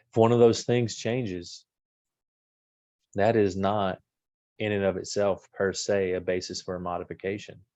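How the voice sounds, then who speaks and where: Against a quiet background, a man speaks at a fairly slow pace with monotone, flat intonation. He leaves long, frequent pauses. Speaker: family law attorney. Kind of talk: lecture.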